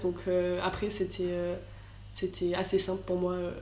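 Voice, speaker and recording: Her voice sits at a medium pitch with a dark, mellow tone. The woman is heard with audible room echo. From southern France, Marseille. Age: 20s. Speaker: student entrepreneur. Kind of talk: podcast interview. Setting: podcast recording. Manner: hesitant, many fillers.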